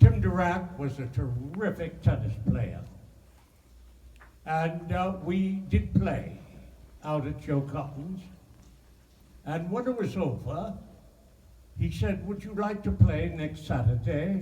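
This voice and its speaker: Over noticeable background noise, a man with a fairly high voice talks very slowly, his pitch swinging widely and his loudness rising and falling sharply, with long, frequent pauses. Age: 80s+. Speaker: actor. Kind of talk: interview answer.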